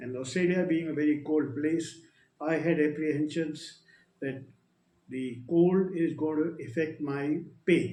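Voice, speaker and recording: With an Indian accent, a man speaks in a dark, mellow tone and fairly even intonation, with audible room echo around him. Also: fairly high pitch for a man, fairly slow pace. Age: 70s. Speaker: retired air force officer. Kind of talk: testimony. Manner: halting.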